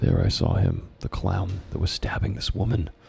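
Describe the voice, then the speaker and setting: This man's voice is very deep and low, with a dark, mellow tone. He speaks quietly, sounding strained, with vocal fry. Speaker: YouTuber reading his childhood stories. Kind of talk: reading aloud with commentary. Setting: at home, roommate sleeping nearby. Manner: quiet, restrained.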